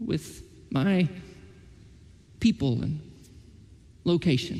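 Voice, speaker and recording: A man speaks with an Oklahoma accent and a dark, mellow tone. His intonation is lively, with vocal fry running through it. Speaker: pastor. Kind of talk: sermon. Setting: church.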